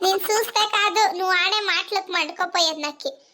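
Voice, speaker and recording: Here is a cartoonish character voice. It moves at a moderate pace. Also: woman, extremely high pitch for a woman. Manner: combative, quick retorts.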